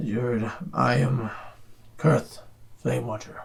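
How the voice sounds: At a moderate pace, a man speaks in a raspy, put-on character voice with a medium pitch.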